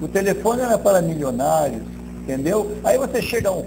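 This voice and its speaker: Music plays in the background, and audible room echo is present. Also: man. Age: 60s. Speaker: marketing director. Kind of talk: interview.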